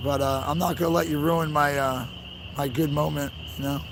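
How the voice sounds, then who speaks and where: A man at a fairly high pitch and moderate pace, over noticeable background noise. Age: 30s. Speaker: livestreamer at protest convoy. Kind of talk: casual live-stream talk to chat. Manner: casual, repetitive with fillers.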